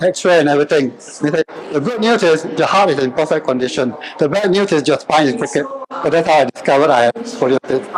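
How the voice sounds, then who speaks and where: A man's fairly high-pitched voice with ordinary pitch variation, against noticeable background noise. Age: 60s. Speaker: fitness trainer. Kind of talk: workshop presentation.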